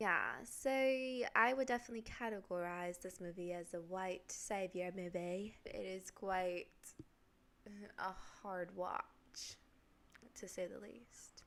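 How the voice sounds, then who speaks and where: A woman with an American accent at a very slow pace, with ordinary pitch variation, big swings in loudness, and long, frequent pauses. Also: medium pitch for a woman. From Chicago. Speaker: film review youtuber. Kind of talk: casual video commentary.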